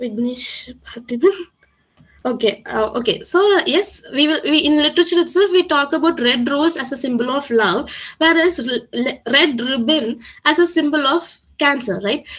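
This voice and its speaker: With a Tamil accent, a woman talks at a moderate pace in a high pitch and with lively intonation. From South India, Tamil Nadu (Coimbatore). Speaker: communication skills trainer. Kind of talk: webinar Q&A. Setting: online webinar. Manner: halting, many fillers.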